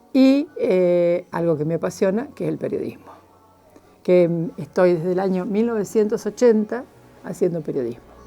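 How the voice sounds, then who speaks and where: Music plays in the background as a woman talks with lively intonation. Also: medium pitch for a woman, moderate pace. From Argentina, Chubut (Esquel, Patagonia). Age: 70s. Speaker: journalist. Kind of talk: interview, life story. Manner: hesitant, many fillers.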